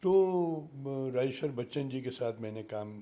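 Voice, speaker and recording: Lively intonation marks this man's dark, mellow voice at medium pitch. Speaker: actor and scientist. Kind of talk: interview conversation.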